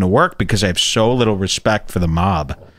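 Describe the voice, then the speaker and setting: Against a quiet background, a man speaks with a Chicago accent. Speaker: podcast host. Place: studio. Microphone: studio mic.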